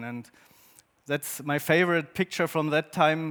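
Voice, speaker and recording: On a very clean recording with a silent background, a man with a German accent and a fairly high pitch talks at a moderate pace with fairly even intonation. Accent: German-speaking accent in English. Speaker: photographer and artist. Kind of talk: presentation to an audience. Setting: stage with audience. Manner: halting, with many fillers.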